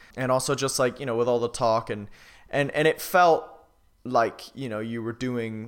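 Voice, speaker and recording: With an ordinary speaking voice, a man talks at a fairly quick pace, medium in pitch with ordinary pitch variation, in a very clean recording over a silent background. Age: 20s. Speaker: drummer. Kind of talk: interview.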